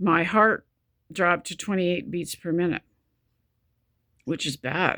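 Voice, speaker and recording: A woman's fairly low, bright and sharp voice at a fairly slow pace, with ordinary pitch variation and long, frequent pauses. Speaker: vlogger with chronic illness. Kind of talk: personal video diary. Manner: halting, stop-start speech; pauses for breath mid-sentence.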